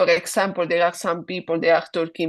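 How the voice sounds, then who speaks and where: A woman with a strong Italian accent speaks at a fairly low pitch. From Italy. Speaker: guest speaker on English and careers. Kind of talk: online webinar discussion.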